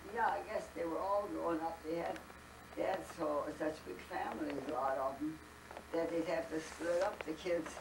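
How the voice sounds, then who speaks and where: A woman at a fairly low pitch and moderate pace, with ordinary pitch variation, over noticeable background noise. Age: 80s+. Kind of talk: interview answer. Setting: home family gathering.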